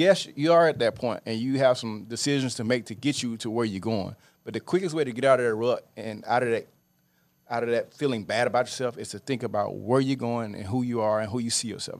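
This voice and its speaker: Talking at a very fast pace with a Louisiana accent, this speaker shows ordinary pitch variation and big swings in loudness on a very clean recording with a silent background. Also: man, medium pitch for a man. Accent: Louisiana Southern US. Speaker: real estate investor and show co-host. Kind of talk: casual chat. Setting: studio.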